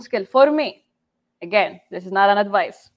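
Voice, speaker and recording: A woman talks in a Saudi accent at a moderate pace. Her pitch is medium, with ordinary pitch variation. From Saudi Arabia, Jeddah. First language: Arabic. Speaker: game developer. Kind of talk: conference talk. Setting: livestream.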